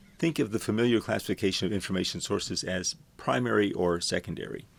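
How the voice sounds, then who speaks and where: Talking at a very fast pace, a man with an American accent uses a fairly low pitch with vocal fry. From US Gulf Coast, Houston. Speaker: university librarian teaching a course. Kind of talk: lecture.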